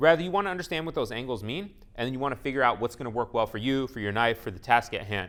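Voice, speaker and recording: The pace is very fast. The intonation is lively. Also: man. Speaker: knife sharpening instructor. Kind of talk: tutorial.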